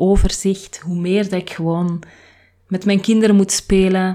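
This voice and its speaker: Her pitch is medium and her intonation monotone and flat as this woman speaks at a moderate pace. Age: 30s. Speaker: podcast host. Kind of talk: personal reflective monologue.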